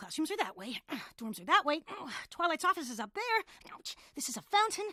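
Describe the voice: Whispering at a moderate pace, a woman puts on a cartoonish character voice.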